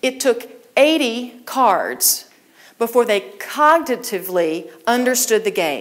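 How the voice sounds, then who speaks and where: A woman's fairly high voice with vocal fry and lively intonation at a very slow pace. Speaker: keynote speaker. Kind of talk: keynote speech on leadership.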